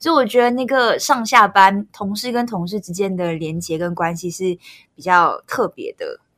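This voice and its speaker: A woman speaks at medium pitch and a moderate pace, her intonation lively and her loudness swinging widely. The sound is dry and close with no echo. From Malaysia. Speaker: news editor. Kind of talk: casual chat.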